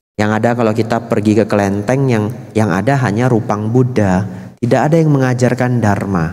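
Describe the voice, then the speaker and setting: This man speaks at a moderate pace in a dark, mellow tone. His volume holds very even against a quiet background. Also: ordinary pitch variation. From Medan, North Sumatra, Indonesia; North Sumatra, Indonesia. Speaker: Buddhist monk; Buddhist monk teacher. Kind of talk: sermon. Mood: warm, lightly humorous. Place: hall. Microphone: handheld.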